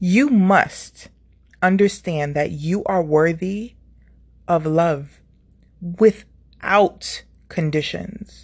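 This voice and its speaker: A woman speaks very slowly, with long, frequent pauses and ordinary pitch variation. Her voice is somewhat breathy. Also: fairly low pitch for a woman. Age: 30s. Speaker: YouTuber. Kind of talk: motivational monologue.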